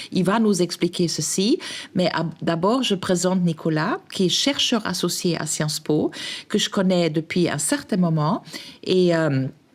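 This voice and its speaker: A woman speaks at a fairly slow pace in a fairly low voice with ordinary pitch variation. Her loudness stays very even. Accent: non-native. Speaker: podcast host. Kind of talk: podcast interview. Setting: café. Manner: hesitant, many fillers.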